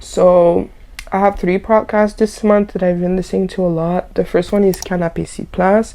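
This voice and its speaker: With a French accent, a woman speaks in a medium pitch. Her tone is dark and mellow. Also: moderate pace. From Haitian background. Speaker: lifestyle YouTuber. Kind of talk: casual vlog chat. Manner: animated.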